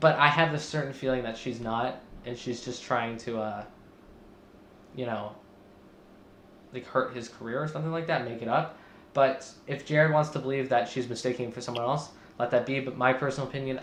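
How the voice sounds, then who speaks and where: In a room with audible echo, a man talks at a fairly quick pace and medium pitch with fairly even intonation and long, frequent pauses. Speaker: podcast host. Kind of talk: casual commentary discussion. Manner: fast; hesitant with many fillers.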